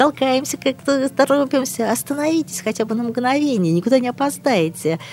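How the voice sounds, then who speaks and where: Barely pausing, a woman talks at a moderate pace in a high pitch with lively intonation, over noticeable background noise. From St Petersburg, Russia. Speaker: politician and public figure. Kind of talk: interview. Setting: studio.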